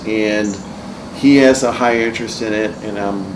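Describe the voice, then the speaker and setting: Noticeable background noise and audible room echo surround a man's voice. He talks at a fairly slow pace with fairly even intonation. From northern Ohio, US. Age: 50s. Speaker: real estate investor. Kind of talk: casual chat. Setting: podcast recording over beers. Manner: halting.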